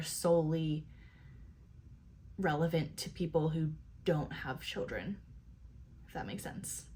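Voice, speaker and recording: Somewhat breathy, a woman's fairly low voice moves along at a moderate pace. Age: 20s. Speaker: YouTube commentator. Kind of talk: reaction commentary. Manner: casual, filler-heavy.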